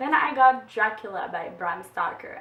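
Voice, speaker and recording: Noticeable background noise runs under the audio. A woman is speaking. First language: French. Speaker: book vlogger. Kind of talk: casual book haul vlog. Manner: halting, with fillers.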